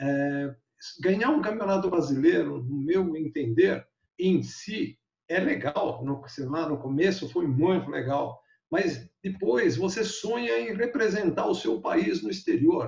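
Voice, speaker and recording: Very slowly, a man speaks with a high pitch and lively intonation. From Brazil, Bauru (São Paulo state). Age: 70s. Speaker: glider pilot, eight-time national champion. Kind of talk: interview, storytelling.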